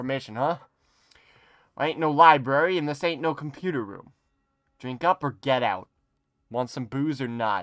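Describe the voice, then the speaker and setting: A gruff, raised and projected put-on character voice moves at a moderate pace, broken by long, frequent pauses. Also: man, medium pitch for a man. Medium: virtual streamer. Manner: gruff, dismissive.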